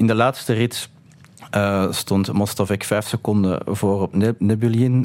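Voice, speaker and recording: The speech has fairly even intonation on a very clean recording with a silent background. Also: man. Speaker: author, political scientist and economist. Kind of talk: interview. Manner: halting.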